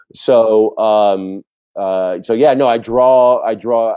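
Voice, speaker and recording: A man with an American accent at a medium pitch, ordinary pitch variation, a dry sound with no echo and a quiet background. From New York City. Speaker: TV director; TV guest. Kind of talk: interview. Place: home room. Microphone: video call.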